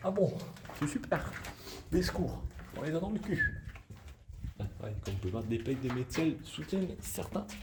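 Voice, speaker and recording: Over noticeable background noise, a man at a medium pitch talks at a fairly slow pace with very wide pitch swings and long, frequent pauses. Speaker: youtuber. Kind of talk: exploration vlog. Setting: inside an abandoned mine. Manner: partly whispering.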